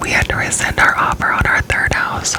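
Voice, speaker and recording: Whispering at a fairly slow pace, a woman is heard with noticeable background noise. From Florida, US South. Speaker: ASMR creator. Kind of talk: whispered ramble. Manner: gum chewing.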